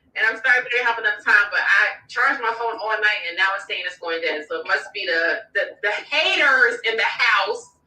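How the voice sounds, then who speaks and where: Her speech is animated, with lively intonation and hardly any pauses, as this woman talks at a fairly high pitch. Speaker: tarot reader. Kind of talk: live stream chat. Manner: fast.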